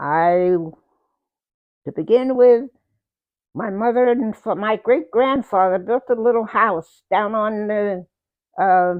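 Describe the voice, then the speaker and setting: A woman with a medium pitch talks very slowly, her pitch varying in an ordinary way. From New Jersey. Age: 80s+. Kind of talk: oral history interview. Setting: at home.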